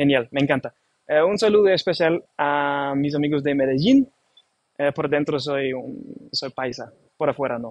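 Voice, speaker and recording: This man speaks with a German accent at a fairly high pitch. His pitch varies in an ordinary way. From Germany. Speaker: livestream host. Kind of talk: live stream hosting. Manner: hesitant, many fillers; casual, animated.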